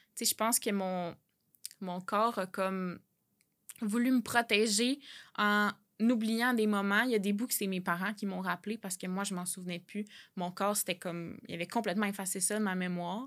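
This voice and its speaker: At a moderate pace, a woman of medium pitch speaks with fairly even intonation and long, frequent pauses in a very clean recording with a silent background. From Quebec, L'Assomption. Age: 20s. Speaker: graphic designer and author. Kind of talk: personal testimony interview.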